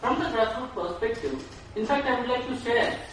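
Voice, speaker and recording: Someone speaks fairly quickly in an Indian accent, with strong room echo and light background noise. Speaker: nonprofit worker. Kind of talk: audience question at a conference. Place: hall.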